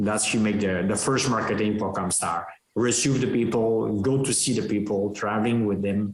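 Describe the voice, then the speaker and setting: Fairly low-pitched man at a moderate pace, with fairly even intonation. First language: French. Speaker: dairy farmer and cattle breeder. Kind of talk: podcast interview. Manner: halting.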